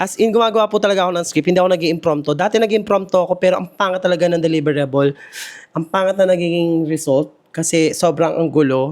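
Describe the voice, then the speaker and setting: The man's pitch is high. He talks at a very fast pace. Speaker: travel vlogger. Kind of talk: vlog. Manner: casual, chatty.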